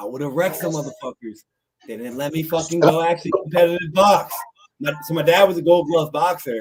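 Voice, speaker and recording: A fairly high-pitched man with a Philadelphia accent, fairly quick, with ordinary pitch variation and big swings in loudness. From Norristown, Pennsylvania (Philadelphia area). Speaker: podcast co-host. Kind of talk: casual chat. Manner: animated.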